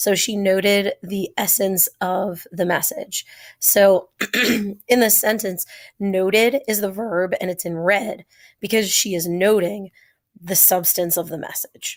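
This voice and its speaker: At a very slow pace, a woman talks with fairly even intonation. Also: medium pitch for a woman. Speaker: teacher. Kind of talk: vocabulary lesson. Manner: casual.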